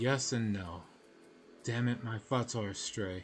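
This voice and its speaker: A man speaks at a fairly slow pace in a put-on character voice, his pitch medium. The voice sounds strained, and the intonation stays fairly even. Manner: strained, exasperated, speaking through clenched teeth.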